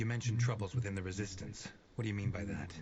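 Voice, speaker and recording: A man's put-on character voice, fairly low in pitch, very fast, with fairly even intonation. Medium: video game. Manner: curt, commanding.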